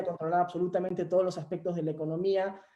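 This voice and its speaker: Dark, mellow tone from a man pitched high. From Peru. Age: 20s. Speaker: young panelist. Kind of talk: webinar panel talk. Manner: hesitant, many filler sounds.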